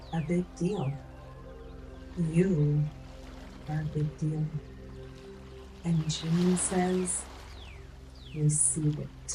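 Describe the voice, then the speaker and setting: A woman speaks at a very deep, low pitch in a monotone with flat intonation. Long, frequent pauses break up her speech while music plays in the background. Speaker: life coach. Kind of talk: ASMR life coaching affirmations. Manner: soft-spoken, whispered.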